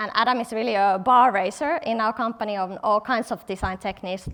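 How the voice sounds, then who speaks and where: A woman speaks with a Finnish accent. The background is quiet. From Finland, Helsinki. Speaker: product designer, conference speaker. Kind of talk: conference talk. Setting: stage with audience.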